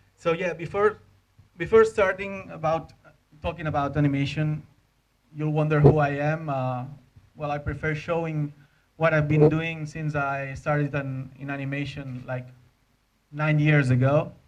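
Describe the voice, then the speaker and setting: A man speaks at a fairly high pitch with fairly even intonation. His speech has long, frequent pauses. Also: moderate pace. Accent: Spanish. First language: Spanish. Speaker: animator. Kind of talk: conference talk. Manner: halting, many fillers and repeats.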